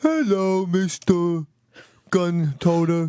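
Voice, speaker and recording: A put-on character voice at a middle pitch. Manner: comic, goofy.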